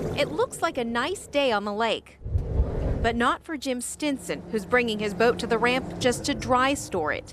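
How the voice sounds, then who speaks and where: A woman with a high voice and lively intonation speaks at a moderate pace over noticeable background noise. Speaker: television news reporter. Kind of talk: TV news reporter delivery, live stand-ups and packages.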